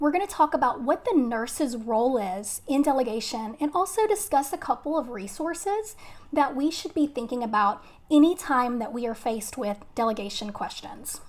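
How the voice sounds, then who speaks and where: A woman with a Texan accent, high in pitch, with very wide pitch swings and a moderate pace. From Texas. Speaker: nurse educator. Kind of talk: live webinar lecture. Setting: live stream. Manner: casual, friendly.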